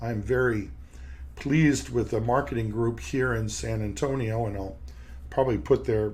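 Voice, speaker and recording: A man with a fairly low, somewhat breathy voice speaks amid audible room echo. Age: 60s. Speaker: periodontist and podcast host. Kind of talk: podcast monologue. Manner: halting, with repeated words.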